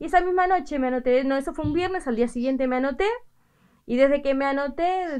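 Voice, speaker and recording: A woman with an Argentine accent, high-pitched and fairly quick, against a quiet background. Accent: Rioplatense Argentine Spanish. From Argentina, Buenos Aires province (Carapachay); Buenos Aires province, Argentina. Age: 50s. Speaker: seamstress. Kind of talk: news interview. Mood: pleased, animated. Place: workshop. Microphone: handheld.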